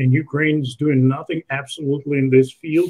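Against a quiet background, a somewhat breathy man talks at a moderate pace in a monotone, flat intonation. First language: Russian. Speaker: online show host. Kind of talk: interview. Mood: critical, conversational. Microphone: video call.

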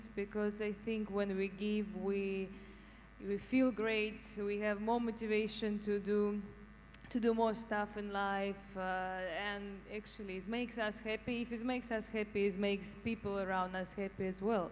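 Her intonation is monotone and flat, at a medium pitch for a woman and a moderate pace. Light background noise can be heard. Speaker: audience member. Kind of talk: audience participation. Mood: warm, positive. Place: hall. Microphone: handheld.

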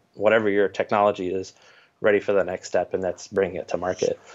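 Heard over a quiet background, the speaker talks with an American accent. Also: man. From Northeast Ohio, near Cleveland. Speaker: startup founder and PhD student; interviewee. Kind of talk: interview. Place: home room. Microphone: video call.

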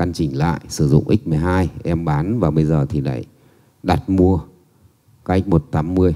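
A man speaks with an extremely low pitch, ordinary pitch variation and a dark, mellow tone.

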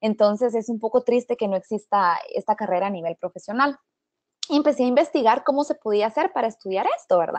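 Dry and close with no echo, a woman talks at a fairly quick pace with lively intonation in a plain, everyday voice. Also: fairly high pitch for a woman. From Guatemala. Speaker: astrophysics PhD student. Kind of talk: webinar presentation.

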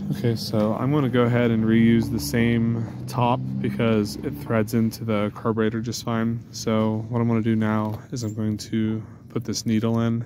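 A man talks at a fairly slow pace. The sound is dry with no echo, and there is noticeable background noise. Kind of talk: tutorial. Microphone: phone near.

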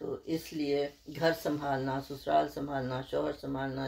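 Very deep and low in pitch, a woman speaks with fairly even intonation. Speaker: retired chemistry professor. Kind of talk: interview answer.

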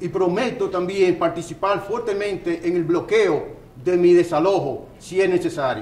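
A man talks at a moderate pace in a high pitch with ordinary pitch variation. Room echo is audible.

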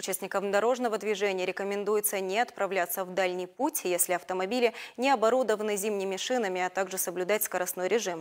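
A woman speaks at a very fast pace with ordinary pitch variation against a quiet background. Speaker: news anchor. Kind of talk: news reading. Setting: studio. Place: studio. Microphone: lapel.

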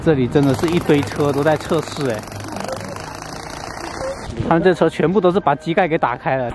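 Noticeable background noise is present throughout. The speaking pace is moderate. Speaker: travel vlogger. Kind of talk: casual vlog chat. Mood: cheerful, laughing. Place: street. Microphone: phone near.

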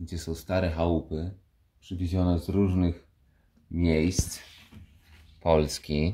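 A man's very deep, low voice, somewhat breathy and monotone with flat intonation, at a very slow pace over light background noise. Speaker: family vlogger. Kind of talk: casual vlog chat. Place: open country. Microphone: phone near.

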